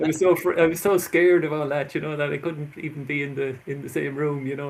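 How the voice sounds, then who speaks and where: This man has an Irish accent and a fairly high pitch. He talks at a fairly quick pace with fairly even intonation. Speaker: author and labyrinth workshop leader. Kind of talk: interview. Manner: halting.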